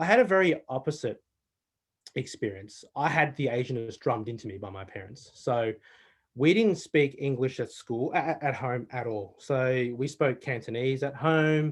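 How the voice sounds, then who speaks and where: With an Australian accent, a man talks at a moderate pace. His pitch is medium. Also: ordinary pitch variation, quiet background. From Australia, Melbourne. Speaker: panel guest, award judge and summit organiser. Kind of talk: panel discussion. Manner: conversational with many fillers.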